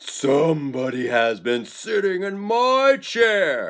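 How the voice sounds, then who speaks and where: Putting on a character voice, a man speaks at a high pitch. His pace is very slow. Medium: read story.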